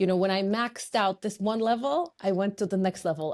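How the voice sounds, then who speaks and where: A woman of medium pitch with a Polish accent and ordinary pitch variation, over a quiet background. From Poland. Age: 40s. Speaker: fitness and business coach. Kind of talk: podcast interview.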